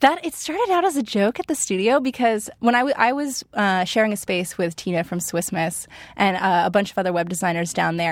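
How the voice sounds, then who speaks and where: A woman with a medium pitch speaks at a fairly quick pace with an American accent. The recording is very clean, with a silent background. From Pennsylvania, US. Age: 20s. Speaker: lettering artist and illustrator. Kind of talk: interview. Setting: studio.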